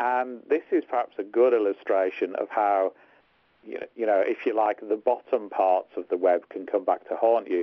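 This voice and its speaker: A man with a Liverpool accent speaks at a moderate pace. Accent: English accent, compared to Beatles accents. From northern England, Hartlepool. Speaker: tech lawyer and podcast co-host. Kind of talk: casual podcast discussion.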